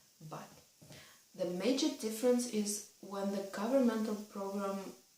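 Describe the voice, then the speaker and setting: With a Russian accent, a woman speaks at a fairly slow pace, her pitch medium with ordinary variation. Audible room echo and noticeable background noise surround her voice. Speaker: vlogger. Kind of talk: casual vlog advice talk.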